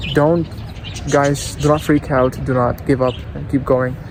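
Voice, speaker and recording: Over noticeable background noise, a man with a non-native accent speaks fairly slowly at a medium pitch with fairly even intonation. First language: not English. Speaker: English teacher vlogger. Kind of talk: casual vlog. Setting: outdoors.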